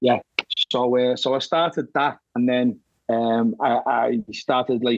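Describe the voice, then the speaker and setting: A man's medium-pitched voice in a Liverpool accent, with ordinary pitch variation and a fairly slow pace. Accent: Scouse. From Liverpool, England. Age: 50s. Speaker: horror author. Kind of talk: interview. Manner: halting, many repeated words.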